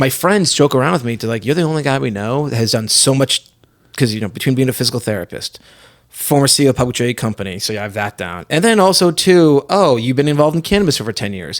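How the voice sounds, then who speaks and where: At a very fast pace, a man with an American accent speaks with lively intonation in a very clean recording with a silent background. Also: medium pitch for a man. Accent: Boston accent, slips out at times. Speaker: physical therapist and cannabis entrepreneur. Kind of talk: casual chat. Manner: animated storytelling.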